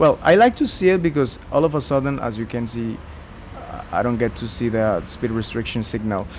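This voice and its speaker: Noticeable background noise fills the recording. Over it, a man speaks at an even, moderate speed. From Colombia. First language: Spanish. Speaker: gaming YouTuber. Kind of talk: gameplay commentary. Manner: halting, many fillers and self-corrections.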